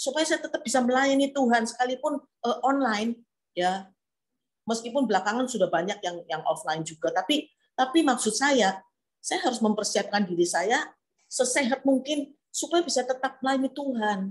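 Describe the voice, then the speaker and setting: Her intonation lively and her pitch high, a woman talks at a moderate pace. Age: 70s. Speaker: preacher. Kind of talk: sermon. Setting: online church service.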